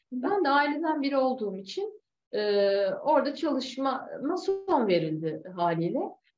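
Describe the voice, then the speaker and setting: A woman speaks at a high pitch with very wide pitch swings. She goes at a fairly slow pace, with audible room echo. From Turkey. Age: 30s. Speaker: yoga and aerial hammock instructor; aerial hammock instructor. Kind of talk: interview. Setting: video call. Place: home room. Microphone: video call.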